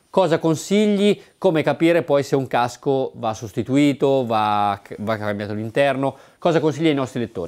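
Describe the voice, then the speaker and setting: Over a quiet background, a man with a fairly high pitch speaks at a moderate pace with lively intonation. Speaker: motorcycle video presenter. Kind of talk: on-location interview. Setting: motorcycle shop. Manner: animated. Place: shop. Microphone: lapel.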